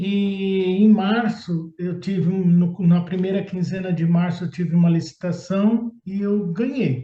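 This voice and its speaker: Speaking at a fairly slow pace with hardly any pauses, a man uses a high pitch, a dark, mellow tone and fairly even intonation. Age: 60s. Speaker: procurement consultant. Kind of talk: testimonial interview.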